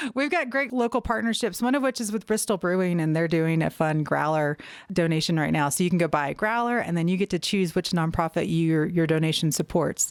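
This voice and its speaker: Speaking with a slight Southern US accent, a woman with a fairly low pitch talks at a fairly quick pace with hardly any pauses, lively intonation and very even loudness. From US South. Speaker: nonprofit executive director. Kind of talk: interview.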